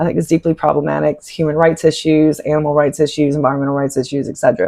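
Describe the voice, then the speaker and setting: On a very clean recording with a silent background, a woman speaks in a fairly low voice with a Southern accent. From US South, Appalachian Virginia (Clifton Forge). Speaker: sociologist and spiritual content creator. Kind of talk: casual monologue vlog. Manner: conversational, filler-heavy.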